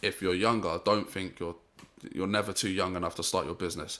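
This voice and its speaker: A man with a very deep, low pitch and a bright, sharp tone, at a fairly quick pace with fairly even intonation. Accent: London. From Saint Vincent heritage, raised in London. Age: 20s. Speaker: youtube channel founder. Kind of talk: interview.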